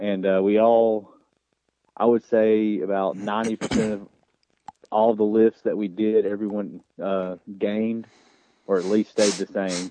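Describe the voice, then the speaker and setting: Speaking fairly slowly with long, frequent pauses, a man uses monotone, flat intonation and a fairly low pitch with a dark, mellow tone, and the sound is dry and close with no echo. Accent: Southern US. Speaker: high school football coach. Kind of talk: radio interview.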